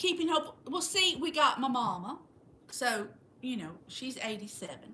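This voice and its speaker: A woman with a Southern US accent speaks at a fairly slow pace in a raised, projected, high voice, her pitch swinging very widely. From Florida. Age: 60s. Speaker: livestream host. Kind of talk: casual chat.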